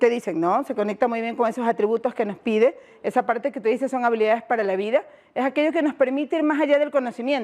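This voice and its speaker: A woman with a coastal Ecuadorian accent, very fast pace, lively intonation and dark, mellow tone. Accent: Ecuadorian coastal Spanish (Guayaquil). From Ecuador, Guayaquil. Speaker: education workshop facilitator. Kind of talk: workshop presentation. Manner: interactive, questioning audience.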